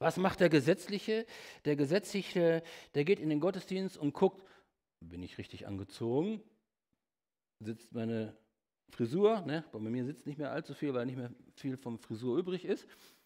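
Against a quiet background, the voice has a dark, mellow tone, moving at a moderate pace with long, frequent pauses, big swings in loudness and very wide pitch swings. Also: man, fairly high pitch for a man. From Germany, Lippe region (Bad Salzuflen); Germany. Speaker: evangelist, guest preacher; preacher. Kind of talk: sermon. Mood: humorous, lively. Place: church.

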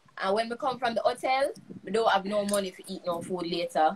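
A woman talks at a very fast pace with ordinary pitch variation. Noticeable background noise is present. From Jamaica. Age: young. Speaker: guest. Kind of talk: interview answer. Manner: casual, chatty. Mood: animated, humorous. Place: home room.

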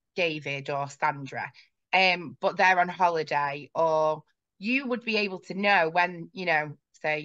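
A woman at a fairly slow pace, fairly low in pitch with a bright, sharp tone and ordinary pitch variation, against a quiet background. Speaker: guest. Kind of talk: interview answer. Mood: friendly, engaged. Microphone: video call.

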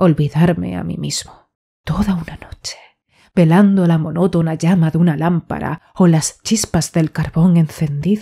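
Fairly slow, somewhat breathy speech from a woman, fairly low in pitch and dark, mellow in tone. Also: fairly even intonation. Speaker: audiobook narrator. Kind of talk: audiobook reading of a horror short story. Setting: home studio, USB condenser microphone.

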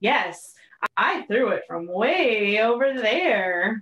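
A put-on character voice with a fairly high pitch moves along at a very slow pace. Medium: read story.

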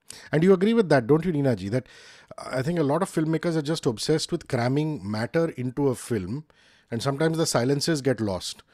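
A man with an Indian accent talks at a very fast pace, his fairly high pitch carried by lively intonation and a dark, mellow tone. The sound is dry with no echo, against a quiet background. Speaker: interviewer. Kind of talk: casual interview. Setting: video call. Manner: animated. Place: home room. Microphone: studio mic.

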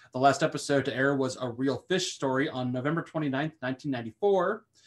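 With a normal speaking voice, a fairly high-pitched man talks at a moderate pace with ordinary pitch variation. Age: 30s. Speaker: podcast co-host. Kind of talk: casual chat.

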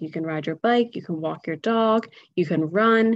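A woman with an American accent, fairly even intonation, and a dry sound with no echo. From Philadelphia, Pennsylvania; Pennsylvania. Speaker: environmental education director; presenter. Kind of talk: webinar presentation. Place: home room. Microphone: webcam.

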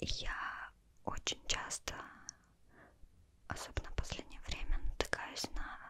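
A woman's whisper at a very slow pace. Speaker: vlogger. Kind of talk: casual vlog chat. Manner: soft close-mic ASMR speech. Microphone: studio mic.

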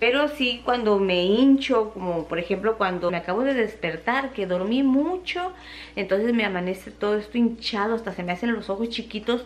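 The pitch varies in an ordinary way as a woman talks at a moderate pace. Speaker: home vlogger. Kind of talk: casual vlog chat. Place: kitchen. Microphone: phone near.

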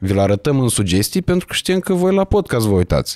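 A man's pitch swings very widely as he talks fairly quickly against a quiet background. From Romania. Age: 20s. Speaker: podcast host. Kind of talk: casual chat. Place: studio. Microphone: studio mic.

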